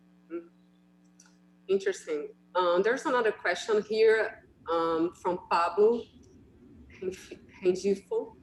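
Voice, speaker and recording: A woman speaks at a medium pitch with a Portuguese accent and ordinary pitch variation. Her pace is fairly slow, broken by long, frequent pauses. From Brazil. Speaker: radiologist, session moderator. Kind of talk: webinar Q&A moderation.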